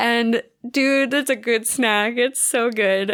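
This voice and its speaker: A woman with an American accent on a very clean recording against a silent background. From US, Philadelphia. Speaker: podcast co-host. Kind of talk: casual chat.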